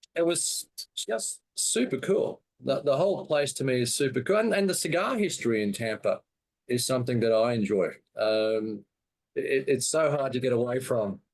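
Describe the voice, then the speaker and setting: A man with an Australian accent, medium in pitch, lively in intonation, very even in loudness, at a moderate pace. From Australia, Brisbane. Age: 60s. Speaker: cigar seller and show host. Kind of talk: casual interview chat.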